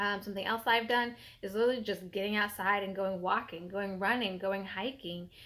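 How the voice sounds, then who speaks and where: With fairly even intonation, a woman speaks at a moderate pace. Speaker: fitness vlogger. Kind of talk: casual vlog chat. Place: home room. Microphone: phone near.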